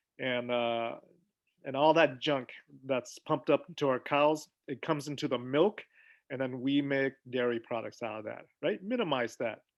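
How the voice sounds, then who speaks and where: A man at a moderate pace with a non-native accent. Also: medium pitch for a man, ordinary pitch variation. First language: not English. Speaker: physician. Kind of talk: health talk on a video call. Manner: casual, conversational.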